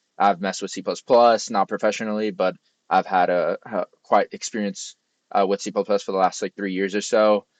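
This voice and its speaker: A man with a fairly low pitch mumbles at a fairly quick pace in a flat monotone. The sound is dry and close with no echo, against a quiet background. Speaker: software engineer and tech youtuber. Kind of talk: casual vlog talk. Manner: mumbling, many fillers.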